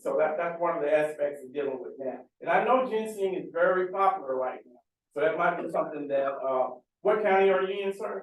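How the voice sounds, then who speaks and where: In a room with audible echo, a high-pitched man speaks fairly quickly with lively intonation. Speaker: government farm agency official. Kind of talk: panel Q&A answer. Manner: loud. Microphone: speaking without a mic.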